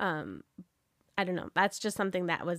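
A woman speaks with a fairly low pitch. The recording is very clean, with a silent background and a dry, close sound with no echo. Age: 40s. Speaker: podcast co-host and ministry leader. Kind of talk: casual chat.

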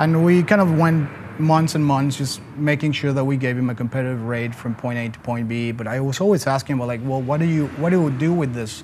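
A man with a Spanish accent speaks at a medium pitch and a fairly quick pace, with hardly any pauses. His pitch varies in an ordinary way, and there is noticeable background noise. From Mexico City, Mexico. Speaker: logistics company co-founder. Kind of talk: casual interview. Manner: halting, many fillers.

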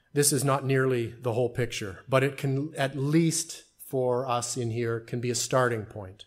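In an ordinary speaking voice, a man talks at a fairly slow pace and medium pitch. The recording is very clean, with a silent background. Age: 40s. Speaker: pastor. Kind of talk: sermon. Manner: formal.

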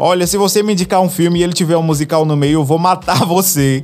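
Over noticeable background noise, a man with a high pitch talks at a fairly quick pace with ordinary pitch variation. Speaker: podcast host. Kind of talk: casual storytelling monologue. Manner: animated.

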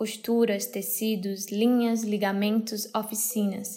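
A fairly high-pitched woman's voice with monotone, flat intonation. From Brazil, Ceará (Crato). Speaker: artist and designer, podcast host. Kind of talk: scripted narration.

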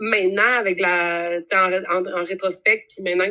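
A woman speaks with a Quebec accent in a bright, sharp tone. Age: 20s. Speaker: university student. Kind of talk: casual interview.

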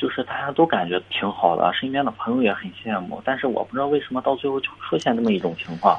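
A man's fairly quick speech competes with noticeable background noise. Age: 20s. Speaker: caller to advice show. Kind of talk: phone-in advice call. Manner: halting, many fillers and repetitions.

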